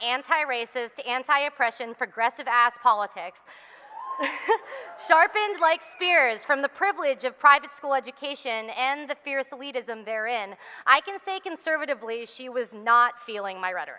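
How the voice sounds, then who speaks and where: With an American accent, a woman speaks at a moderate pace in a high, raised and projected voice, her loudness swinging widely against noticeable background noise. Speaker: spoken word poet. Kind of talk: spoken word poetry performance. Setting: live event stage.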